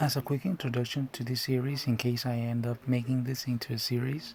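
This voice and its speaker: Somewhat breathy and at a medium pitch, a man talks at a fairly quick pace in a monotone, flat intonation. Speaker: comic book reader. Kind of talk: casual talk to camera. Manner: sarcastic, joking.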